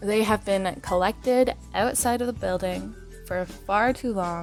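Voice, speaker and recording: Background music is playing. A woman talks over it at a very slow pace. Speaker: gaming YouTuber. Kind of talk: casual gaming commentary.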